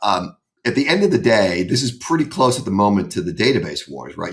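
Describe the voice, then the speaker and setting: This is a man speaking. The recording is very clean, with a silent background. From US Northeast, Boston. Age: 60s. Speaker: private equity investor. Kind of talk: podcast interview. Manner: casual, many fillers; animated.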